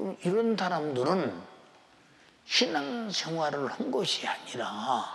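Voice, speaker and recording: Talking at a very slow pace, a man uses lively intonation in a high voice. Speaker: pastor. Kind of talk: sermon. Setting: church. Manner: animated. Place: church. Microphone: lapel.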